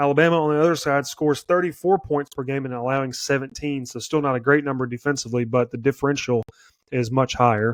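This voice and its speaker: This man has a fairly high voice. He talks with an American accent. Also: dry, close sound with no echo. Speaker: sports podcast host. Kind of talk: sports prediction show monologue. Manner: fast; stumbling over words.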